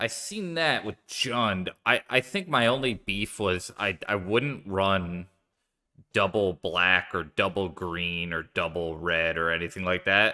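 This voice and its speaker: With a Philadelphia accent, a man speaks at a very slow pace in a fairly low pitch, his tone bright and sharp and his intonation lively, over a quiet background. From US Northeast, Philadelphia. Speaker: game streamer. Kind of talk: live gameplay commentary; casual gameplay commentary. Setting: live stream. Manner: casual, frequent filler words. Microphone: studio mic.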